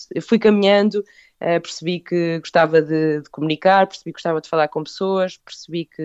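A woman's fairly low-pitched, normal speaking voice, with fairly even intonation at a moderate pace. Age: 30s. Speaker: food business owner. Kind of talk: interview.

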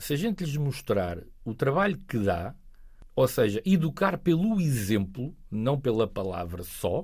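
This man speaks at a fairly slow pace, somewhat breathy, with very wide swings in pitch. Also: medium pitch for a man. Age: 40s. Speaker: local politician. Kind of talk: interview.

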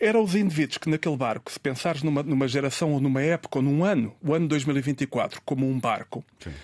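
Fairly high-pitched for a man, a man speaks at a fairly quick pace with ordinary pitch variation, in a dry, close sound with no echo and a very clean recording with a silent background. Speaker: writer and professor. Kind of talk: casual chat. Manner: halting.

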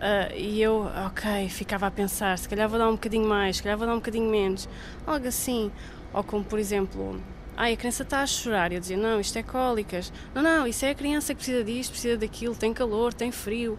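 A woman with an unremarkable speaking voice, fairly high pitch, ordinary pitch variation and a fairly quick pace. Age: 30s. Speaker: mother. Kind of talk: testimony.

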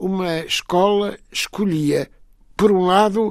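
Male speech captured very cleanly against a silent background. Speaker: author. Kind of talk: interview conversation.

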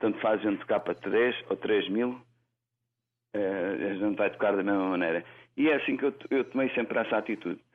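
At a moderate pace, the speaker keeps a very even loudness with ordinary pitch variation. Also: man, fairly low pitch for a man. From Lisbon, Portugal. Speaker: singer-songwriter. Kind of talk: interview. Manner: halting.

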